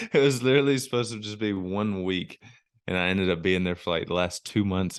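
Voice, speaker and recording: Very deep and low, a man's voice moves at a very fast pace with ordinary pitch variation. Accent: Southern US. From US South, Alabama. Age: 20s. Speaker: ministry worker, motocross rider. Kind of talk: podcast interview. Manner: casual.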